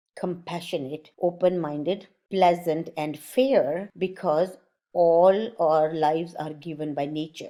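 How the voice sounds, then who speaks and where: A woman with an Indian accent speaks at a very slow pace, her dark, mellow tone showing ordinary pitch variation. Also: fairly low pitch for a woman. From born in India, grew up in Germany. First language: Sanskrit. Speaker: art channel host, mandala artist. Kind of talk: explanatory talk to camera.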